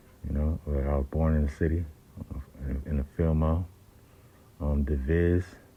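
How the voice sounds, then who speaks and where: A man speaks in a very deep, low pitch with monotone, flat intonation, long and frequent pauses, a dark, mellow tone and a somewhat breathy quality. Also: moderate pace, very even loudness. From San Francisco Bay Area (Oakland). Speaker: independent rapper. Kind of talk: casual monologue. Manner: halting, many fillers.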